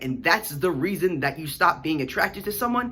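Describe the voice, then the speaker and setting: A man speaks, his pitch swinging very widely. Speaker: YouTuber. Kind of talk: rant. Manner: fast. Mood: annoyed, critical. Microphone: phone near.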